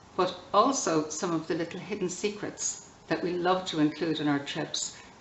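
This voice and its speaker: At a moderate pace, a woman with an Irish accent talks in a fairly low pitch with ordinary pitch variation, amid noticeable background noise and audible room echo. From Ireland. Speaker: tour guide. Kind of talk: scripted promotional video.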